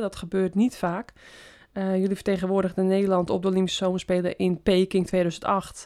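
Recorded very cleanly over a silent background, a woman speaks in a dark, mellow tone at a medium pitch. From West-Friesland, Netherlands. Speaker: podcast host, former pro cyclist. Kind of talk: interview.

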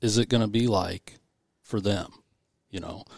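A man talks at a moderate pace in an ordinary speaking voice, medium in pitch. The recording is very clean and dry, close-up with no echo against a silent background. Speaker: volunteer conservation chapter chairman. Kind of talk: casual interview chat.

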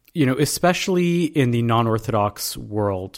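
An unremarkable speaking voice from a man, medium in pitch, with lively intonation. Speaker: podcast host. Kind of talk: interview.

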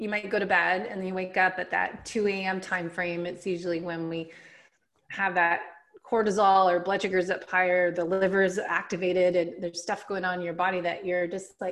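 Speaking at a moderate pace, a woman uses a normal speaking voice at a medium pitch. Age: 40s. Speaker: health coach and author. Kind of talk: casual interview. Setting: remote call.

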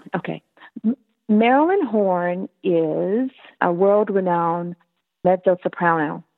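Music plays in the background as a woman speaks at a very slow pace with an American accent. She takes long, frequent pauses and uses ordinary pitch variation. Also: medium pitch for a woman. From US South, South Carolina. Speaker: opera singer and professor. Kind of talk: interview.

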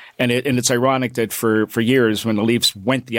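A man with a Canadian accent speaks at a fairly quick pace in an ordinary speaking voice of medium pitch, the sound dry and close with no echo. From Canada, Toronto (Scarborough). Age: 60s. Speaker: fill-in sports radio host. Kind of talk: casual sports radio chat. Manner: chatty, repetitive with frequent fillers.

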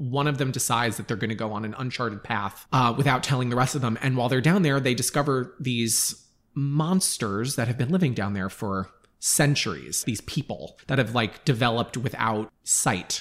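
The man has an unremarkable speaking voice, medium in pitch with ordinary pitch variation, delivered at a moderate pace on a very clean recording with a silent background. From Long Island, New York. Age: 30s. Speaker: artist. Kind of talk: casual chat.

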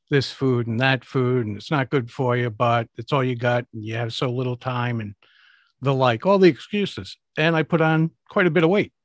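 A man with an unremarkable speaking voice talks at a moderate pace and medium pitch with ordinary pitch variation. The background is quiet and the sound is dry and close, with no echo. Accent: American. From US, Rhode Island (Providence). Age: 60s. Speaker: public speaking coach. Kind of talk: interview.

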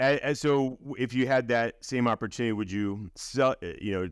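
Against a quiet background, a man with a plain, everyday voice speaks at a moderate pace with ordinary pitch variation. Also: dry, close sound with no echo. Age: 50s. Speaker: podcast host. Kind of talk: interview.

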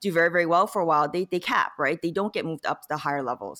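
The recording is very clean and the background silent. A woman rattles off her words very fast. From born in Korea, grew up in the US. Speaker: data scientist and educator. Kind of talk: interview.

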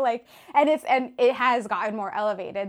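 A woman speaks with lively intonation. Noticeable background noise can be heard behind her. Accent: American. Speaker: punk musician. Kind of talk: casual interview. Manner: casual, frequent filler words.

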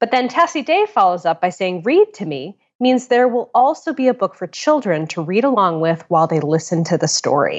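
Speaking at a fairly quick pace with hardly any pauses, a woman with an American accent moves through very wide pitch swings. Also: medium pitch for a woman. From Connecticut, US. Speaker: podcast host. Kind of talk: casual chat. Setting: phone call recorded remotely.

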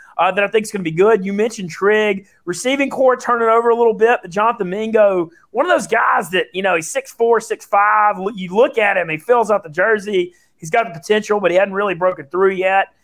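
A high-pitched man with a Southern US accent, ordinary pitch variation and hardly any pauses, over a quiet background. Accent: Southern US drawl. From Louisiana. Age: 30s. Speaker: sports betting radio personality. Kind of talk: casual chat.

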